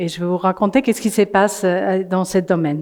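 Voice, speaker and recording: A woman with a non-native accent speaks at medium pitch. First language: not French (speaking French). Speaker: climate coalition representative. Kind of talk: conference talk. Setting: in person before an audience. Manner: halting, many hesitations.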